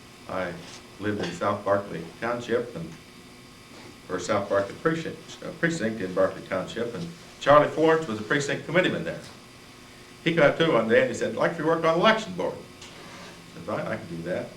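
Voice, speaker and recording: A man with an American accent talks at a fairly quick pace and a medium pitch, his loudness rising and falling sharply and his pitch swinging very widely. He leaves long, frequent pauses, and the room echo is audible. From Indiana, Jasper County. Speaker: county party chairman and farmer. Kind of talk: panel talk to audience. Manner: halting.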